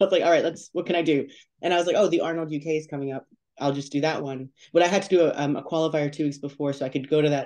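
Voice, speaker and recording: Very fast and fairly even in intonation, a woman with an American accent speaks in a very deep, low pitch with a dark, mellow tone. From Boston, US. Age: 40s. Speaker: bodybuilding competitor and dermatologist. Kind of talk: interview. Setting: podcast interview.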